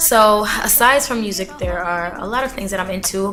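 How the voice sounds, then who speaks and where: With music in the background and audible room echo, a woman talks at a moderate pace in a medium pitch with ordinary pitch variation. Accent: American. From Philadelphia, US, Jamaican parents. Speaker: singer. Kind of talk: interview. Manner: animated.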